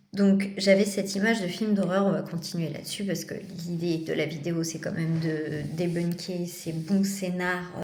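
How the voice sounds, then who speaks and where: With audible room echo, a woman speaks fairly slowly at a fairly low pitch in a monotone with flat intonation. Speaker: vlogger and psychiatric patient. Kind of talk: casual vlog monologue. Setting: in a psychiatric clinic.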